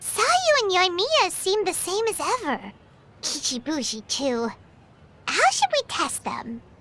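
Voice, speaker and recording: An extremely high-pitched, put-on character voice with very wide pitch swings at a fairly slow pace over music in the background. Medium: video game. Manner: chatty, casual.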